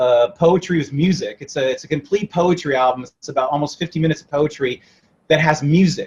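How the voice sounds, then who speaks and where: A fairly high-pitched man with a West Coast US accent, ordinary pitch variation, big swings in loudness and a fairly quick pace. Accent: General American, West Coast. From mixed: Italy, then various US states. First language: Italian. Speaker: rock musician. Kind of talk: interview. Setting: remote interview.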